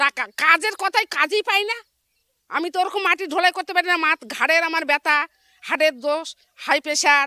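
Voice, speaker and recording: Raised and projected, a woman's extremely high voice shows ordinary pitch variation, with a dry, close sound and no echo. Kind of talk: street interview.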